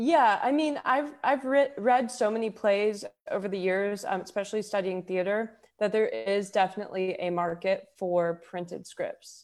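A woman with an American accent has a plain, everyday voice. She talks at a moderate pace with ordinary pitch variation. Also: medium pitch for a woman. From Houston, Texas. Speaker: singer-songwriter and poet. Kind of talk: casual interview chat.

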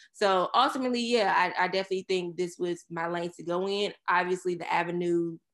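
In a quiet background, a woman with an unremarkable speaking voice and an American accent talks at a moderate pace and a fairly low pitch. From Surry County, Virginia. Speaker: agency owner. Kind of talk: casual interview chat.

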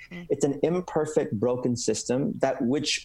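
This man has a normal speaking voice in a General American accent. He talks at a moderate pace with lively intonation. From San Francisco, US West Coast. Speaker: pastor and author. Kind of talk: interview.

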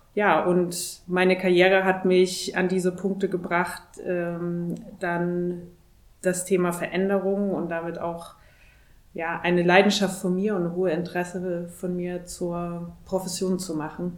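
In a room with audible echo, a woman with a fairly low pitch speaks slowly in a flat monotone. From Thuringia, Germany. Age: 30s. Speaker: corporate executive. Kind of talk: interview.

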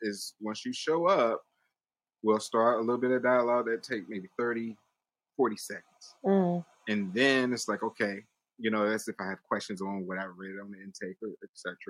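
The sound is dry and close with no echo as a man at a medium pitch talks at a moderate pace, with ordinary pitch variation and big swings in loudness. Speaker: podcast host. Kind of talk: casual interview chat. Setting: video call. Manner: enthusiastic, animated.

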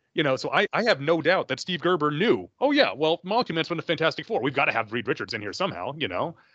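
With vocal fry and a bright, sharp tone, a man at a fairly high pitch races at a very fast pace with hardly any pauses and very wide pitch swings, recorded dry and close with no echo against a quiet background. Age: 40s. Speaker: comic book podcast guest. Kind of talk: casual chat.

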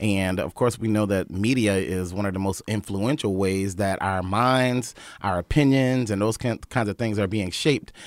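A man's ordinary speaking voice with an American accent, fairly low in pitch, with ordinary pitch variation, a moderate pace and hardly any pauses, on a very clean recording with a silent background. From North Carolina (Wilmington). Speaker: event organizer and media entrepreneur. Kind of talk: casual chat. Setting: studio.

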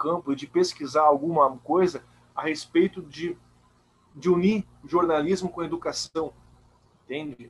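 Fairly slow male speech, high in pitch, with ordinary pitch variation. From Santa Catarina, Brazil (Blumenau). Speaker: journalist and doctoral student. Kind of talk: interview. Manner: halting, many repetitions.

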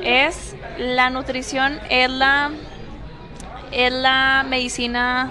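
Over noticeable background noise and audible room echo, a woman uses a raised, projected voice at a high pitch, speaking at a very slow pace with long, frequent pauses and very even loudness. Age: 20s. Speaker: nutritionist. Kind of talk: casual interview. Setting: café.

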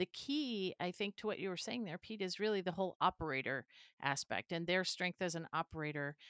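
A woman talks in an ordinary speaking voice at a medium pitch. Her pace is fairly quick and her intonation lively. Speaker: podcast co-host. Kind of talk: casual interview.

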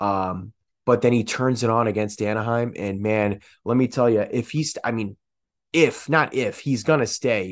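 A man talks at a medium pitch and a moderate pace. His pitch variation is ordinary. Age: 20s. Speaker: sports podcast host. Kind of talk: solo sports commentary podcast. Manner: hesitant, many fillers; enthusiastic.

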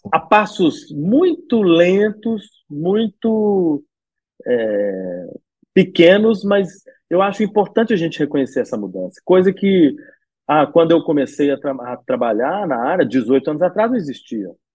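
A man's high voice swings very widely in pitch as he talks at a fairly slow pace. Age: 40s. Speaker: cultural events manager. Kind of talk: interview.

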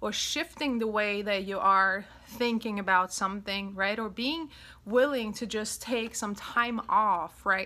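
A woman with a European accent speaks at a fairly slow pace and a fairly high pitch, with ordinary pitch variation. Her tone is bright, sharp, warm and upbeat, on a very clean recording with a silent background. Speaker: self-love coach and podcast host. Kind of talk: solo podcast monologue about self-love. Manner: warm, upbeat, chatty, frequent laughs.

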